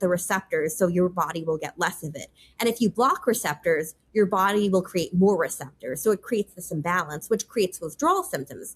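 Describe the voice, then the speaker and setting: A woman with an American accent, somewhat breathy, at a fairly quick pace. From US Northeast, New York. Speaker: policy advisor. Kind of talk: interview. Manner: fast; casual, filler-heavy.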